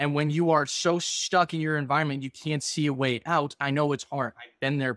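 Speaking at a fairly quick pace with fairly even intonation, a man is heard over a quiet background in a dry sound with no echo. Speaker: podcast host. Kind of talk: casual podcast conversation. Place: home room. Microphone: video call.

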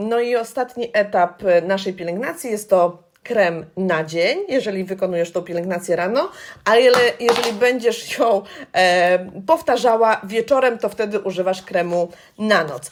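A woman with a normal speaking voice talks at a moderate pace and medium pitch, with ordinary pitch variation. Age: 40s. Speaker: beauty consultant. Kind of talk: tutorial. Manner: friendly, conversational.

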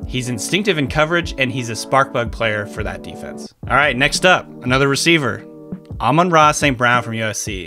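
A man speaks at a fairly quick pace. His pitch swings very widely over clear background music. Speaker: football analyst. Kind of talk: sports analysis talk to camera.

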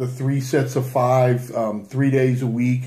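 Somewhat breathy and dark, mellow in tone, a man speaks at a fairly slow pace in a monotone, flat delivery over a quiet background. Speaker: fitness coach. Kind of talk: casual talk, personal story. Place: home room. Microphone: webcam.

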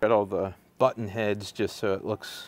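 A man's fairly low, monotone voice with flat intonation at a moderate pace, the sound dry with no echo. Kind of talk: casual vlog chat. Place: workshop. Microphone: lapel.

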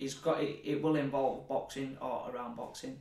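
A fairly high-pitched man's voice in a Yorkshire accent with fairly even intonation and audible room echo. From northern England, Leeds; northern England. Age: 30s. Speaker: professional boxer; guest. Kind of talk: casual chat. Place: studio.

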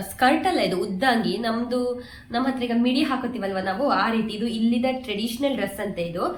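There is noticeable background noise and audible room echo as a woman speaks in a fairly high voice. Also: ordinary pitch variation. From Kundapura, coastal Karnataka, India. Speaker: vlogger and mother. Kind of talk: casual vlog narration.

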